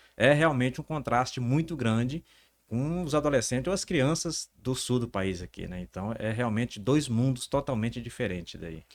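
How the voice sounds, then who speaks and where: Speaking at a medium pitch, a man keeps to a moderate pace. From northern Brazil, Pará (Altamira). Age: 40s. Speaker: entrepreneur. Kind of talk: interview. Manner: halting, repeats words.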